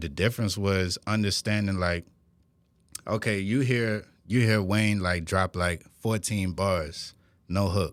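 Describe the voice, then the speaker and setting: A man with a New Orleans accent talks at a fairly slow pace and fairly low pitch on a very clean recording with a silent background. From New Orleans, Westbank. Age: 20s. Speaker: rapper. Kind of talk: interview. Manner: casual.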